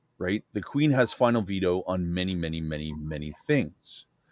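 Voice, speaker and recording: Over a silent background in a very clean recording, a man talks at a moderate pace. His pitch swings very widely. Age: 40s. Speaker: livestream host. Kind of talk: casual chat.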